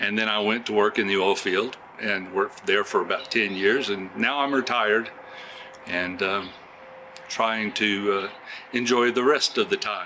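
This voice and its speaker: Over noticeable background noise, a man with an American accent speaks at a moderate pace in a fairly low voice with fairly even intonation. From Oklahoma, USA. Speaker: retired music teacher and oil field worker. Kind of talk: interview answer. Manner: hesitant, many fillers.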